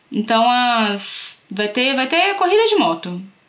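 The voice is raised and projected, animated, with very wide pitch swings at a fairly slow pace. Noticeable background noise runs underneath. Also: woman. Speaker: community radio co-host. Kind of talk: casual chat. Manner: animated, laughing often.

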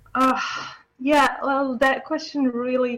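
Her voice is high-pitched and monotone, with flat intonation and an Arabic accent. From Syria. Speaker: software developer. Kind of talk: interview. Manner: halting, many fillers.

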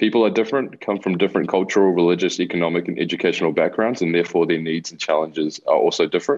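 A man rattles along at a very fast pace with hardly any pauses, his very deep, low voice showing ordinary pitch variation. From Chile, raised in New Zealand. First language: Spanish. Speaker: youth mentor and cultural bridging facilitator. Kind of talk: radio interview. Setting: video call.

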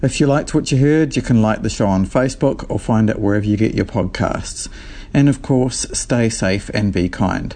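This man has an unremarkable speaking voice, a medium pitch, ordinary pitch variation and very even loudness, and he talks at a moderate pace. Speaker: radio producer and host. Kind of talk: scripted radio intro and outro.

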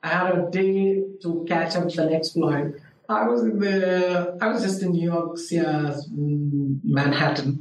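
A man speaks at a high pitch with ordinary pitch variation. Noticeable background noise runs beneath him. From India, Hyderabad. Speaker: architecture lecturer. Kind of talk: interview. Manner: hesitant with many fillers.

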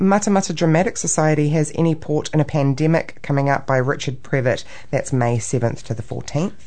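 A woman's very deep, low voice, with ordinary pitch variation, over noticeable background noise. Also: fairly quick pace, hardly any pauses. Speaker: community radio co-host. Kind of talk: casual chat. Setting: studio.

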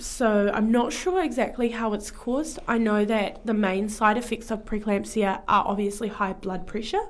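A woman with a New Zealand accent and a fairly high voice speaks at a moderate pace with hardly any pauses. Her intonation is fairly even, and there is noticeable background noise. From Taranaki, New Zealand. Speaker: guest. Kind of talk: casual radio interview. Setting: studio.

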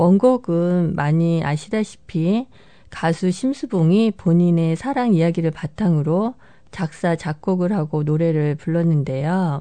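A woman speaks very slowly in a fairly low, dark, mellow voice with a calm tone and ordinary pitch variation. The background is quiet. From South Korea. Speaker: radio DJ. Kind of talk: radio presenting. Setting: studio.

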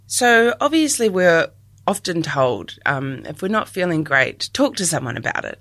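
On a very clean recording with a silent background, a woman with a New Zealand accent uses very wide pitch swings. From New Zealand, Dunedin. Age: 30s. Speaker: communications advisor. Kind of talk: personal reflection talk.

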